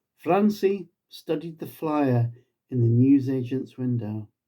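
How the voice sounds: A man's dark, mellow tone at a slow pace. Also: medium pitch for a man, lively intonation.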